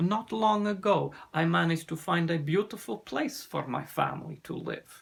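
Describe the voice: Putting on a character voice, a man speaks at a moderate pace with lively intonation, a slightly husky edge and vocal fry. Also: fairly high pitch for a man.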